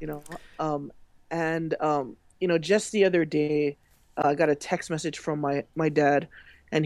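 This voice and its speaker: A woman with a Hawaiian accent speaks with a very deep, low pitch and fairly even intonation in a very clean recording with a silent background. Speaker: social media consultant. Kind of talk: interview. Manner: halting, many fillers.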